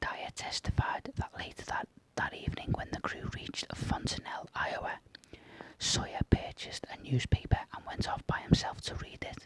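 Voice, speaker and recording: A man whispers at a moderate pace, with big swings in loudness. The sound is dry and close, with no echo. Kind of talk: whispered true crime narration. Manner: whispered, soft.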